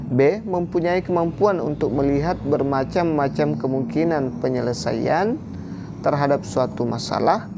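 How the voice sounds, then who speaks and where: With noticeable background noise and audible room echo, a man speaks at a fairly high pitch with lively intonation. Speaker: teacher-training exam tutor. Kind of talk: tutorial.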